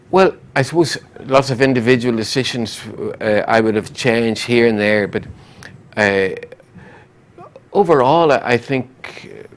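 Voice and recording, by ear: At a medium pitch, a man speaks at a fairly slow pace with lively intonation.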